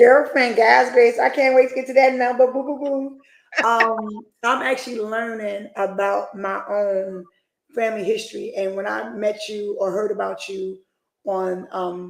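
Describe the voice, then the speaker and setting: With a normal speaking voice, a woman speaks at a fairly slow pace and a fairly high pitch. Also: ordinary pitch variation. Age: 40s. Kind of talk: casual chat.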